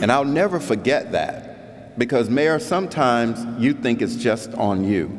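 A man with an American accent, very wide pitch swings, and a fairly slow pace. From South Florida. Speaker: keynote speaker, head of a national league of cities; keynote speaker. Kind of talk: keynote speech. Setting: convention stage with audience. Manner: animated. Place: hall. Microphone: podium.

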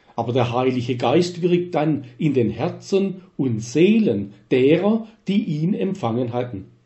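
With very wide pitch swings and hardly any pauses, a somewhat breathy man speaks at a very slow pace and a fairly high pitch in a room with audible echo. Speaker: retired church minister. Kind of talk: scripted narration.

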